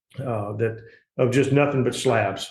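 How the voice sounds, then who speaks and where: A man with a Mississippi accent, somewhat breathy, in a monotone, flat intonation. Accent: Southern US (Mississippi). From US South, Gulfport, Mississippi. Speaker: politician and insurance agent. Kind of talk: interview. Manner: halting, many fillers.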